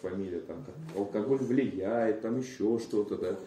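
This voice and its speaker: Audible room echo surrounds a man speaking at a fairly quick pace. His tone is dark and mellow, with ordinary pitch variation. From Moscow, Russia. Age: 20s. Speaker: recovering addict, AA speaker. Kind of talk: personal testimony.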